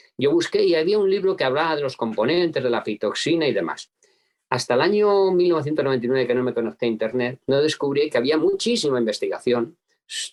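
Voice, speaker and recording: His pitch swings very widely from high to low. The man's delivery is very fast. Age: 70s. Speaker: apitherapist. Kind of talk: interview. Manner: hesitant.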